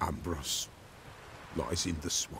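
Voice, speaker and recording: A man speaks in a put-on character voice over clear background noise. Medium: video game. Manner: grave, speaks of himself in third person.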